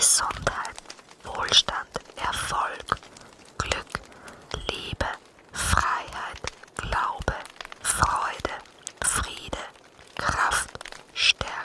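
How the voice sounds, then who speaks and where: A woman whispers at a very slow pace. Long, frequent pauses break her speech amid noticeable background noise. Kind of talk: ASMR affirmation words. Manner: whispered.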